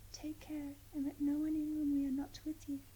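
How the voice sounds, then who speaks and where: A soft-spoken whisper at a moderate pace, gentle and soothing in tone. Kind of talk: whispered ASMR bedtime story reading. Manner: whispered, softly spoken, gentle, soothing.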